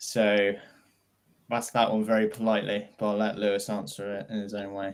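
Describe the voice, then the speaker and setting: A man's fairly low voice with a British accent and monotone, flat intonation. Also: moderate pace, very clean recording, silent background. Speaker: airsoft event co-owner and instructor, ex-military. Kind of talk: casual podcast chat. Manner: loud.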